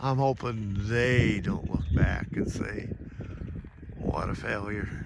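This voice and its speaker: With an American accent, a man speaks very slowly at a medium pitch with ordinary pitch variation. Noticeable background noise and audible room echo fill the recording. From US Midwest, Indiana. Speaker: devotional vlogger. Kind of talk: devotional monologue. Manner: casual, folksy.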